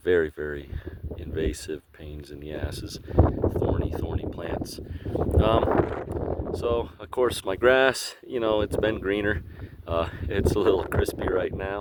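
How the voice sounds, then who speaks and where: Against noticeable background noise, a man with a fairly low voice speaks fairly slowly with lively intonation. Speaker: homesteader vlogger. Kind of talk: casual video tour. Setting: outdoors. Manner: hesitant, many fillers. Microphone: poor audio.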